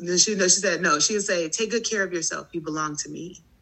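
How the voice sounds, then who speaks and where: A woman's voice with ordinary pitch variation, over noticeable background noise. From US Midwest, Chicago South Side. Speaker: teacher, performer and yoga instructor. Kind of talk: casual interview.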